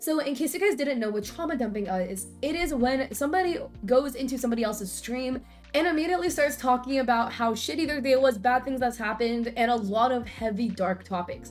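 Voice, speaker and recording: Over music in the background, a woman speaks at a fairly quick pace in a high voice. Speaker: Twitch streamer. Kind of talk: casual talk to camera.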